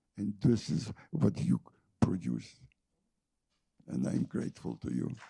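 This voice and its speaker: A man's dark, mellow voice with vocal fry, very wide pitch swings and a fairly slow pace. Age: 80s+. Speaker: Holocaust survivor and author. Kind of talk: panel discussion. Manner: halting.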